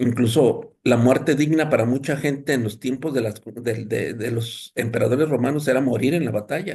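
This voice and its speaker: A man with a Mexican accent and a medium pitch speaks at a moderate pace with ordinary pitch variation and a somewhat breathy sound. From Mexico. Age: 60s. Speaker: thanatologist and lecturer. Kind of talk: lecture. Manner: halting, with many fillers.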